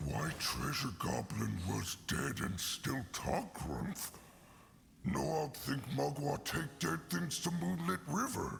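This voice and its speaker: A man's growling put-on character voice, very deep and low, at a fairly slow pace over clear background noise. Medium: video game. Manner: broken, simple grammar; blunt, eager.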